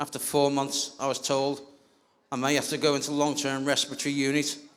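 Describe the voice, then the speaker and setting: A man speaks at a moderate pace in a fairly high pitch, his intonation monotone and flat. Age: 50s. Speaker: vaccine-injured speaker at rally. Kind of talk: speech read from notes. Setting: outdoor rally with crowd. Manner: reading aloud.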